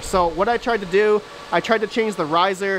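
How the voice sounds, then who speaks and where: Noticeable background noise behind a woman speaking in a medium pitch. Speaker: crypto mining YouTuber. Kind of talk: casual video update, showing equipment. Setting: basement with mining rigs, recorded video.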